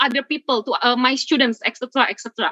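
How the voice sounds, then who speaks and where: A woman speaks with an Indonesian accent in a raised, projected voice. Her tone is bright and sharp, and the sound is dry and close with no echo. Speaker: webinar speaker, blogger and content creator. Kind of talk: webinar presentation. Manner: halting.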